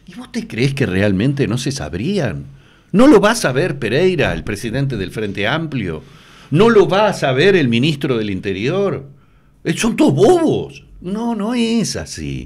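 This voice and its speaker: In a Uruguayan accent, a man with a fairly high voice and vocal fry speaks at a fairly slow pace, with very wide pitch swings and big swings in loudness. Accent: Uruguayan Spanish (Rioplatense). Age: 60s. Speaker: TV news presenter. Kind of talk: interview. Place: studio. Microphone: studio mic.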